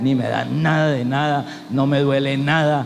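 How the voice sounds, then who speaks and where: Amid noticeable background noise and audible room echo, a man talks at a medium pitch and a fairly slow pace. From Colombia, Cali. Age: 60s. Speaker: pastor. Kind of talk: sermon.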